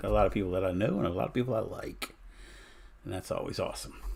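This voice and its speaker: A man is speaking. His pace is fairly quick. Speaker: live streamer. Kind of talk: casual chat. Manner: calm.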